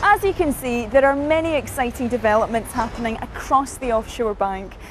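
Noticeable background noise sits under a woman's high-pitched voice with lively intonation. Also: fairly quick pace. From Scotland. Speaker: TV presenter. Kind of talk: corporate news programme presenting.

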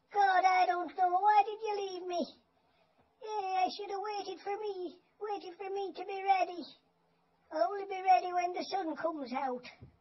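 A put-on character voice from a man, pitched extremely high. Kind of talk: casual talk to camera. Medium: role play. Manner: scolding, complaining.

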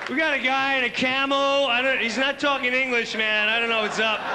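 A man talks fairly quickly while loud background noise fills the clip. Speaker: stand-up comedian. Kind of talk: stand-up comedy routine. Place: stage. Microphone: handheld.

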